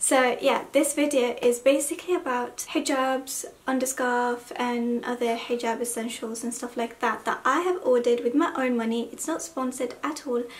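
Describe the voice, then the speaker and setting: Over noticeable background noise, a woman speaks in a high pitch with fairly even intonation and hardly any pauses. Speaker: hijab fashion vlogger. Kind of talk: haul video chat. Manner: subdued, talking slowly.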